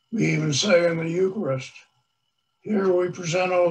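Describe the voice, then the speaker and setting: Here a man speaks with a high pitch. His intonation stays fairly even. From US Northeast, Long Island, New York. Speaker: priest. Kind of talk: sermon. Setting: church. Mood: warm, earnest.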